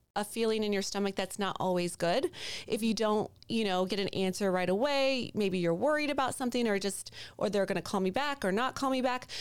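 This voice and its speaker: A woman speaks in a fairly high voice with ordinary pitch variation. It is an unremarkable speaking voice. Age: 40s. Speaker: mortgage broker. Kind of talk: casual chat.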